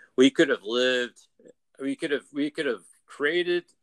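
The man's intonation is lively and his pace moderate. His sound is dry and close, with no echo. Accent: American. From US South, Atlanta suburbs. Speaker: former campus ministry worker. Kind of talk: casual interview chat. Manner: halting, many fillers and repeats.

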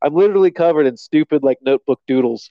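A man is speaking. He has an American accent. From Virginia, US. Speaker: podcast guest. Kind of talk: casual chat. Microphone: headset plugged into phone.

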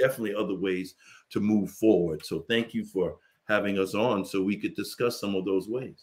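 A man speaks with an unremarkable speaking voice. His pitch is fairly low and his intonation fairly even. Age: 50s. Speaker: leadership consultant. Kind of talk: panel discussion.

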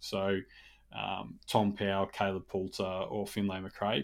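A man with an Australian accent talks fairly low on a very clean recording against a silent background. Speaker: AFL podcast co-host. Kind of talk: casual chat.

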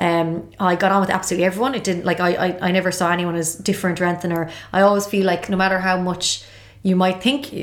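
A woman with a strong Galway accent, medium pitch, a very fast pace and flat, monotone intonation. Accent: Irish, Galway, thick. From Galway, Ireland. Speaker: TV presenter. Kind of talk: casual interview chat. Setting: studio.

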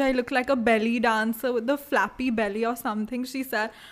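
A woman with an Indian accent talks at a moderate pace in a high pitch. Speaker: podcast co-host. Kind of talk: casual chat.

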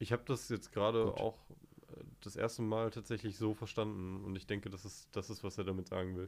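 A man speaks at a fairly quick pace in a flat monotone with a fairly low pitch. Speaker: podcast guest. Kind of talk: casual chat.

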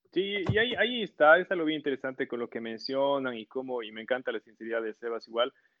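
Talking at a very fast pace with hardly any pauses, a man at medium pitch uses lively intonation and big swings in loudness. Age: 30s. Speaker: university program director and engineer. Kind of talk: casual interview. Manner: halting, with frequent repetitions.

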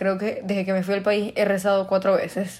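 Animated in tone, a woman speaks at medium pitch and a fairly quick pace. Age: young. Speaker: podcaster. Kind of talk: casual monologue.

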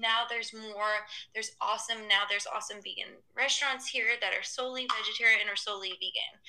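In an American accent, a woman talks at a very fast pace with hardly any pauses, her fairly high voice keeping fairly even intonation. Noticeable background noise runs behind her. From US South, Atlanta. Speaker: sustainable lifestyle blogger and entrepreneur. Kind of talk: casual interview.

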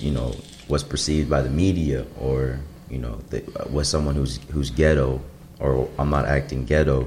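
A man's very deep, low voice with an American accent, fairly even intonation and a moderate pace, over noticeable background noise. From Chicago suburbs, US Midwest. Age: 20s. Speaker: guest. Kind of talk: casual chat.

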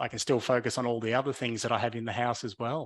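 A man with an Australian accent speaks at a medium pitch in a flat monotone, recorded very cleanly against a silent background. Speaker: podcast team member.

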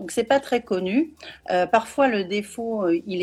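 A woman talks at a fairly slow pace. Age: 40s. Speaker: parenting coach and neurofeedback trainer. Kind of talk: interview on live video. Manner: hesitant, many fillers.

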